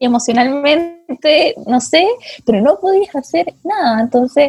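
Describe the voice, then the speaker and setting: A woman with a Chilean accent speaks at a fairly slow pace, her pitch swinging very widely. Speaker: podcast host. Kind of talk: casual chat.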